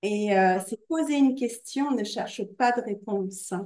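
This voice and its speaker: This woman talks at a fairly slow pace, her fairly high pitch showing ordinary variation. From Normandy, France. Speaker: podcast host. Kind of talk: casual interview. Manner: hesitant, many fillers.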